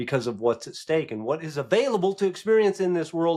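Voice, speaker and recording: A man speaks with very wide swings in pitch. The recording is very clean, with a completely silent background. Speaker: podcast host and life coach. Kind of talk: solo podcast monologue. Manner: conversational, halting with restarts.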